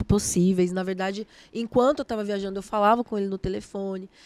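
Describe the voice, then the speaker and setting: The woman's tone is dark and mellow, and the sound is dry and close with no echo. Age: 30s. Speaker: gospel singer and musician. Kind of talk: casual interview chat.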